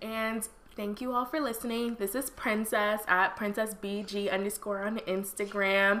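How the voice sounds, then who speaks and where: In a normal speaking voice, the speaker talks at a fairly slow pace with fairly even intonation. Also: woman. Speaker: podcast co-host. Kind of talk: casual chat.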